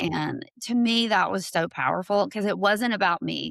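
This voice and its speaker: In a Southern US accent, a woman speaks at a moderate pace, the sound dry and close with no echo. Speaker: LGBTQ+ ally advocate. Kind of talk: podcast interview, personal story.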